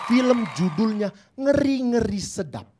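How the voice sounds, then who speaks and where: Crowd noise fills the background as the voice moves at a very slow pace with ordinary pitch variation. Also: man. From Indonesia, North Sumatra (Batak, Medan). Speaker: stand-up comedian. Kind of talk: stand-up.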